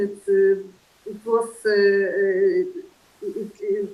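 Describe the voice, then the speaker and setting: A woman with a fairly high pitch, in a Polish accent. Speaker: lecture series moderator. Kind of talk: online lecture discussion. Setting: video call. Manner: halting, many fillers.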